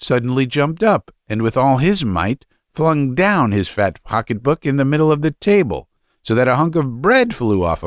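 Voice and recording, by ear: The text is read aloud in a natural voice, its intonation lively. No noise intrudes from behind.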